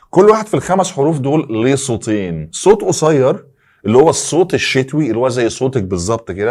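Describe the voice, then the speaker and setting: A man with an Egyptian accent, animated in tone, with vocal fry, very wide pitch swings, and a moderate pace, on a very clean recording with a silent background. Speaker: English teacher. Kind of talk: tutorial.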